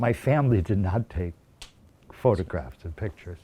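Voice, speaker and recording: A somewhat breathy man speaks at a fairly low pitch with a dark, mellow tone and lively intonation. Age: 70s. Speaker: teacher interviewee. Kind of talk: interview testimony. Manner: halting.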